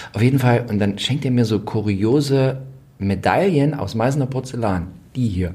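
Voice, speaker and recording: In a room with audible echo, a man with a dark, mellow tone and a somewhat breathy voice speaks at a moderate pace, with medium pitch and ordinary pitch variation. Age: 40s. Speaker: royal expert podcast co-host. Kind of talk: casual chat.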